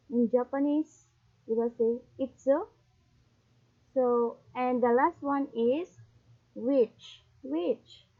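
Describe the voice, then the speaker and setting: In a Visayan Filipino accent, a woman speaks at a very slow pace. Her pitch is high, with ordinary variation. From Philippines, Visayas region. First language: Bisaya (Cebuano). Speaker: YouTuber, language learner. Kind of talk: casual tutorial vlog. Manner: halting.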